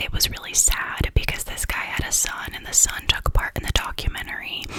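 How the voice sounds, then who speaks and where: A whispering woman over noticeable background noise. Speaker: ASMR YouTuber. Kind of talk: casual talk to camera about true crime episodes. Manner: whispered.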